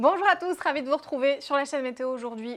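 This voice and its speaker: A woman is talking in a high register. The rise and fall of her pitch is ordinary. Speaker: weather presenter and climate journalist. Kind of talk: TV weather forecast presentation.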